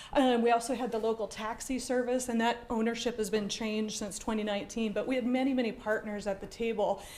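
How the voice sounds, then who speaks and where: A woman's fairly high, flat monotone at a very fast pace with hardly any pauses, in audible room echo. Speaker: transportation project manager. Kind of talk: public presentation. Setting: council chambers with audience. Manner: loud.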